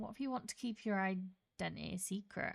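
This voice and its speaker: A woman at medium pitch, in a Yorkshire accent, with ordinary pitch variation and a fairly quick pace. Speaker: gaming streamer. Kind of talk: casual live-stream chat. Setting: home, live stream.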